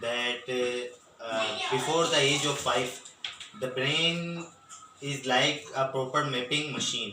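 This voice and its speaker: Amid audible room echo and noticeable background noise, a man with a fairly high pitch speaks at a fairly slow pace. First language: Memoni/Urdu/Sindhi. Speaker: interviewee. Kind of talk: interview answer. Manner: halting.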